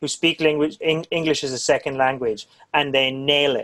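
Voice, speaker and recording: A normal speaking voice from a man, fairly high in pitch, at a moderate pace, with a dry, close sound and no echo. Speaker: drum channel interviewer. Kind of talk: casual interview chat.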